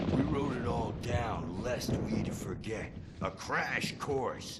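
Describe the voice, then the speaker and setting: Against loud background noise, a man does a put-on character voice at medium pitch and a fairly slow pace. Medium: machinima. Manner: rough, boisterous.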